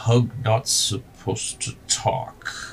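Over clear background noise, a man uses a put-on character voice at medium pitch and a very slow pace. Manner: slow, simple, broken speech.

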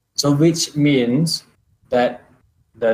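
A man at medium pitch with fairly even intonation. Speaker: podcast guest. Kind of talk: casual discussion.

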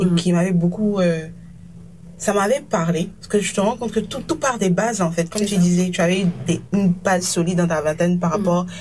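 Somewhat breathy, a woman talks at a fairly quick pace with a medium pitch and fairly even intonation. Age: 20s. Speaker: podcast host. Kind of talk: casual interview conversation.

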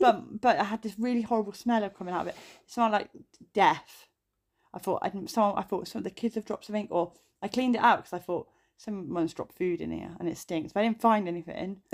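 A woman with a British accent at a medium pitch, very fast pace and ordinary pitch variation, in a very clean recording with a silent background. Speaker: podcast co-host. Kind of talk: casual chat.

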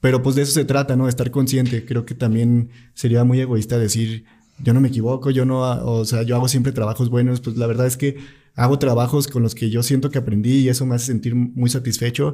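Heard on a very clean recording with a silent background, a man at medium pitch talks at a fairly quick pace in a dark, mellow, somewhat breathy tone with monotone, flat intonation. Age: 20s. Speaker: filmmaker and producer. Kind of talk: casual interview.

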